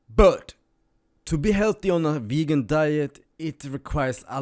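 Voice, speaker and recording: A man speaks at a fairly slow pace with very wide pitch swings, the sound dry and close with no echo on a very clean recording against a silent background. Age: 20s. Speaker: vlogger. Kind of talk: monologue to camera. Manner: casual.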